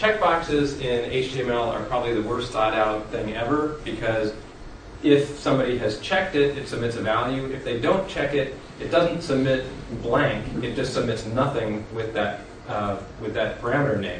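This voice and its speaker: Over noticeable background noise and audible room echo, a man talks at a moderate pace with a medium pitch. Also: ordinary pitch variation. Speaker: conference presenter on software development. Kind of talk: technical presentation. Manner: hesitant with fillers.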